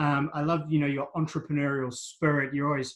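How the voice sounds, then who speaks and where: This man has a New Zealand accent and a fairly high voice. He talks at a moderate pace against a quiet background. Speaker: wellbeing coach and interviewer. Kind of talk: interview.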